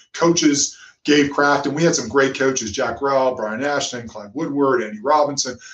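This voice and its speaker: A man with an American accent talks at a moderate pace in a normal speaking voice. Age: 50s. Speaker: former international rugby player and sports executive. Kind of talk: interview.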